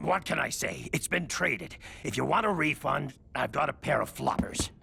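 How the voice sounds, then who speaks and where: In a cartoonish character voice, a man puts on a pompous tone at a fairly high pitch and a moderate pace, with clear background noise. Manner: pompous, self-aggrandizing.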